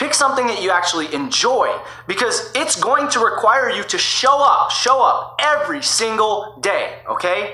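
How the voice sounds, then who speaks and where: Over noticeable background noise and audible room echo, a man speaks in a raised, projected voice at an extremely high pitch. His tone is energetic, with very wide pitch swings, a moderate pace and hardly any pauses. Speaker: online marketing YouTuber. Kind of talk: tutorial. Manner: energetic, coaching tone.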